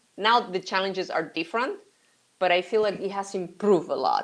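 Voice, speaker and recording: In a Spanish accent, a woman talks at medium pitch with fairly even intonation. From Mexico. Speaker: sourcing consultant. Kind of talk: interview. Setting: live stream.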